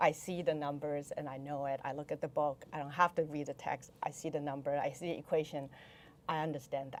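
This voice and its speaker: Speaking quickly, though only fairly so, a woman with a Chinese accent uses a very deep, low pitch and a monotone, flat intonation. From Taiwan. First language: Mandarin Chinese. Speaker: venture investor. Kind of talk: podcast interview.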